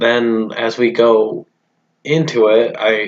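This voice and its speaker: Quietly, a man says his lines. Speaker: cartoon episode reviewer. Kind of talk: casual video review. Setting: at home, roommate nearby. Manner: hesitant, with fillers; kept quiet.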